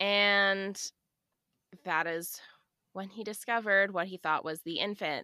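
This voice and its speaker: In a very clean recording with a silent background, a woman speaks at a moderate pace and medium pitch, her tone bright and sharp, the sound dry and close with no echo. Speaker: true crime podcast co-host. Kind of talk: casual chat with case narration.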